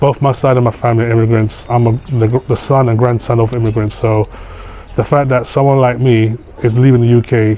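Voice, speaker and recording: A man's very fast, flat monotone at medium pitch with very even loudness. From London, England (Camden, Northwest London). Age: 40s. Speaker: vlogger. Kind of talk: casual vlog talk to camera. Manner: halting, repetitive.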